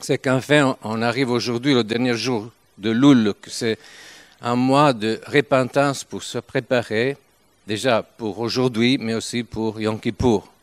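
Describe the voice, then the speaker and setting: Speaking at a very slow pace, a man with a medium pitch keeps his intonation fairly even while his loudness swings widely, in a dry, close sound with no echo. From northern Italy, Turin. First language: Italian (speaking French). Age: 70s. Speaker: visiting preacher. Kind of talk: sermon. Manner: halting.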